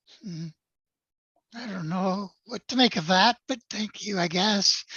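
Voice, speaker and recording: Putting on a character voice, a woman speaks at a fairly slow pace and medium pitch, sounding hoarse and raspy. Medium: actual play. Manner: subdued, hesitant.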